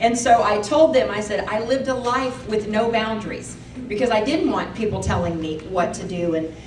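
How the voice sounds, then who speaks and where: At a moderate pace and fairly high pitch, a woman speaks in an animated tone amid noticeable background noise and audible room echo. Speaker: speaker sharing testimony. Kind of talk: testimony. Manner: loud.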